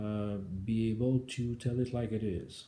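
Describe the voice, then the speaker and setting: A man speaks in a strong French Canadian accent. His voice has a dark, mellow tone and is somewhat breathy. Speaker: government IT executive. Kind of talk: speech proposal presentation. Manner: halting, frequent uh fillers.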